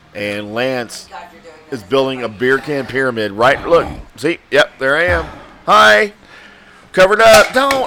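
A man with an animated tone and very wide pitch swings talks at a fairly slow pace, leaving long, frequent pauses over noticeable background noise. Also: medium pitch for a man. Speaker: podcast host. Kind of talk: casual chat. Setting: live stream.

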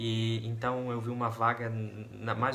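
A man speaks at a medium pitch in a flat monotone. Music plays behind him, and the room echo is audible. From Brazil, interior of Paraná. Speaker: volunteer missionary. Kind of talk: personal testimony.

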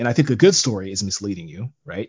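A man with an American accent and a fairly low pitch speaks at a fairly quick pace in a somewhat breathy voice. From US West, Las Vegas. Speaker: podcast guest. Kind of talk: casual political discussion.

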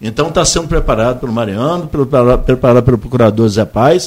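A man with an ordinary speaking voice talks at a fairly quick pace with lively intonation. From Brazil, Campos dos Goytacazes. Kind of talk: radio interview.

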